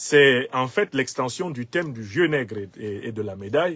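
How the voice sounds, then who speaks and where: Lively intonation marks this man's delivery. He speaks at a moderate pace with medium pitch. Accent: Cameroonian. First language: Bassa (speaking French). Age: 50s. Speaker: political commentator. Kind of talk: political commentary monologue.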